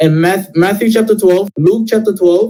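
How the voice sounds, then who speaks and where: Loud, dark, mellow male voice at a moderate pace. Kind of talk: heated debate.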